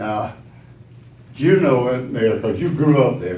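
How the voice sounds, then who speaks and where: Audible room echo surrounds a man speaking at a fairly slow pace, his medium pitch carried by lively intonation. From Statesboro, Georgia. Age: 80s+. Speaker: business owner, public commenter. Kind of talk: public comment at council meeting. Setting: city council meeting.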